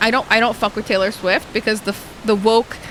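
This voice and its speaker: A woman with a medium pitch talks at a fairly quick pace in an animated tone, with noticeable background noise. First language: Arabic. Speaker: live streamer. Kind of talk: casual gaming stream chat.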